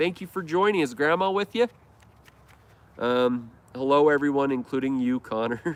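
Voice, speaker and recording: Fairly high-pitched man with an American accent, moderate pace, lively intonation and long, frequent pauses. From Idaho, US. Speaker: lawn care YouTuber. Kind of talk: casual live stream chat. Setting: live stream.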